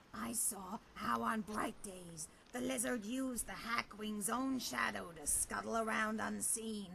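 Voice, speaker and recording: Clear background noise accompanies a put-on character voice with a fairly high pitch at a fairly slow pace. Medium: video game. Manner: dry, sardonic.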